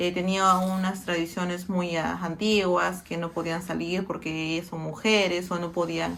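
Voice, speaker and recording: With audible room echo, a woman speaks at a fairly slow pace in a fairly low pitch, her intonation monotone and flat, with hardly any pauses. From Peru, Lima. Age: 30s. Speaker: interviewee sharing personal experience. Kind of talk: personal testimony. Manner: halting, many fillers.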